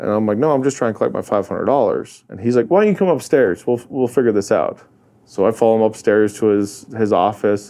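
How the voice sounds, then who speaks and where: With a North Dakota accent and a dark, mellow tone, a man speaks very fast with ordinary pitch variation. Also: medium pitch for a man. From North Dakota, US (Hazen, central). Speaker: real estate investor and rancher. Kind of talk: casual interview chat. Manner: animated storytelling.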